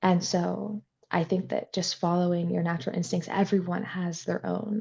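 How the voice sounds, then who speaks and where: In a somewhat breathy, fairly low voice with a dark, mellow tone, a woman speaks at a moderate pace. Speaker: horse trainer. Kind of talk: interview.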